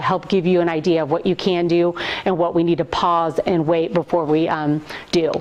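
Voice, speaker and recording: Very fast, monotone, flat speech from a woman amid noticeable background noise. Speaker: VAD coordinator nurse giving training. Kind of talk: lecture.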